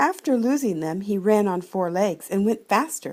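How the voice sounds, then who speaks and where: A woman has a normal speaking voice at a medium pitch. She talks at a moderate pace with lively intonation. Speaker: grandmother reading to children. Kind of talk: children's storybook reading. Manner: warm, gentle, storytelling.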